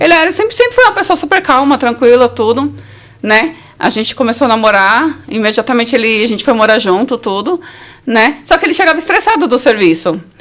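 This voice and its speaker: The delivery moves at a fairly quick pace. Pitch swings very widely throughout. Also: woman, high pitch for a woman. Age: 40s. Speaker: survivor of domestic violence. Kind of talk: testimony. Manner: casual, conversational.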